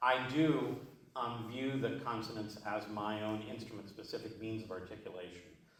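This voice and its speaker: Heard through audible room echo and noticeable background noise, a man with an American accent speaks at a medium pitch and a moderate pace. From Cleveland, Ohio, US. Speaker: jazz vocalist. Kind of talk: masterclass Q&A.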